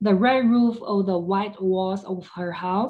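The voice heard is a natural reading voice.

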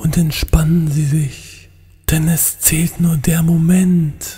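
In a cartoonish character voice at a middle pitch, the speaker goes at a very slow pace with monotone, flat intonation while faint music plays in the background. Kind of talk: parody ASMR relaxation talk. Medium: puppet. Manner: whispered.

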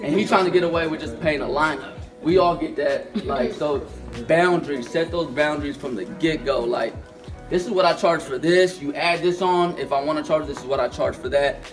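Fairly quick speech with clear music playing behind it. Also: man, high pitch for a man, ordinary pitch variation. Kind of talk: informal lecture answering questions. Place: classroom. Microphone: camera far.

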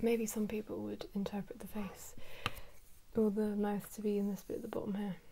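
The voice is soft-spoken and moves at a fairly quick pace. Light background noise is present. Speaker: artist drawing tutorial host. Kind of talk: casual drawing commentary. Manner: soft-spoken, quiet ASMR voice.

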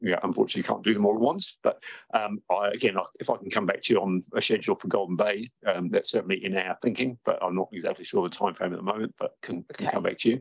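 A man with a New Zealand accent, talking at a very fast pace. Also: quiet background. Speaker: councillor. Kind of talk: council meeting questions. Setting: council meeting room. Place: meeting room. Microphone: podium.

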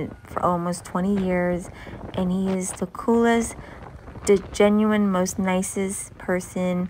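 A woman speaks at a very slow pace with monotone, flat intonation. Light background noise is present. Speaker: travel vlogger. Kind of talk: casual vlog chat. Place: car. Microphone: phone near.

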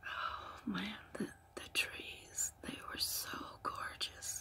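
The voice is whispering. The pace is very slow. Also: woman. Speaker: ASMR storyteller. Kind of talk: ASMR storytelling. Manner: soft-spoken. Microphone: phone near.

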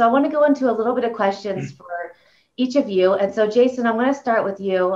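Speaking at a very fast pace, a woman uses lively intonation. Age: 40s. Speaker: clinical director and panel moderator. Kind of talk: moderated panel discussion. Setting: video call. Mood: calm, conversational. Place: office. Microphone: video call.

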